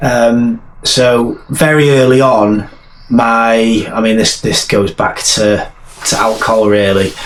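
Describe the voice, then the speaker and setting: A man with a strong Welsh accent speaks at a very slow pace and medium pitch, his intonation fairly even and his loudness very even, over noticeable background noise. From North Wales. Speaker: army veteran and author. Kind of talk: interview testimony. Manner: halting, repeats words.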